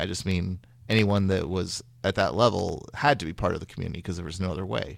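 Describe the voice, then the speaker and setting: In a very clean recording with a silent background, a man with an American accent talks very fast in a very deep, low voice marked by vocal fry. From Northern California (Sacramento). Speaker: game designer. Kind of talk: interview.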